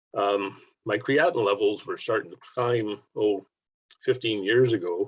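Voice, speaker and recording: A man with a Canadian accent, medium pitch, ordinary pitch variation, a fairly slow pace and a somewhat breathy quality. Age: 70s. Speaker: diabetic kidney patient sharing his story. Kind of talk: personal testimony on a webinar. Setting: video call webinar.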